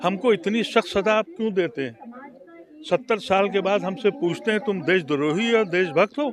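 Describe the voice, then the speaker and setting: Noticeable background noise sits behind a man's voice. He speaks high in pitch with lively intonation. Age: 70s. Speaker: former member of parliament, politician. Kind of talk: interview.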